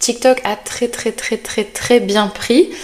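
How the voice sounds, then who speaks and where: Fairly high-pitched female voice with noticeable background noise. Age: 20s. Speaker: podcast host, content creator. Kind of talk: casual solo monologue. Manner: hesitant, with many fillers and repetitions.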